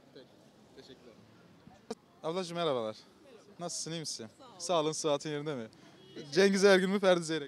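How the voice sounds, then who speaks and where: Over light background noise, a man talks at a very fast pace with a fairly high pitch, ordinary pitch variation, big swings in loudness and long, frequent pauses, in a dry sound with no echo. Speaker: street interviewer. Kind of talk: street vox pop interviews. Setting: outdoors on the street. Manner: friendly, laughs often. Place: street. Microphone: handheld.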